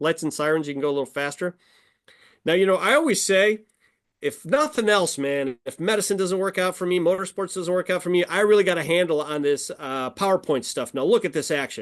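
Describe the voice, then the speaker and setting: A man's high-pitched, fairly quick speech with lively intonation against a quiet background. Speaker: motorsport event physician. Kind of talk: presentation with slides. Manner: fast; halting, many fillers.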